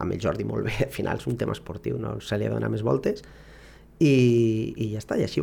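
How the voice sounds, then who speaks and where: The voice has a dark, mellow tone and vocal fry, moving at a moderate pace with very wide pitch swings. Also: man. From Barcelona, Catalonia. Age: 30s. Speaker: football coach. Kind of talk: interview. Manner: halting.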